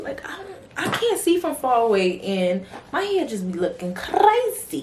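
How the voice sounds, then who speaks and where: A woman with a New York accent talks at a moderate pace and a fairly high pitch. Her pitch swings very widely, with noticeable background noise behind her. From New York City. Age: 20s. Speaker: beauty and fragrance vlogger. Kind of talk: casual Q&A vlog. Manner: animated, conversational.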